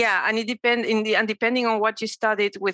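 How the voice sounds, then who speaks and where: A woman's bright, sharp tone in a Spanish accent, dry and close with no echo. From Mexico City. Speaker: cancer survivor. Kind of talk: casual interview.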